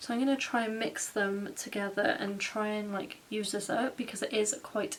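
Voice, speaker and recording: Noticeable background noise accompanies a woman with a British accent and a fairly high pitch. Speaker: makeup vlogger. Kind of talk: tutorial. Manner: casual, chatty.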